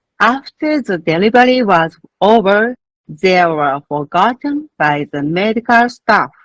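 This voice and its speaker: In a Japanese accent, a woman speaks at a fairly slow pace and a medium pitch, swinging her pitch very widely. The sound is dry and close, with no echo. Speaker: midwife. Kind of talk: conference presentation. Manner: formal.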